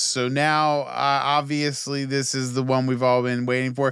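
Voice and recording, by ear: A man with a normal speaking voice talks at a fairly slow pace and a medium pitch.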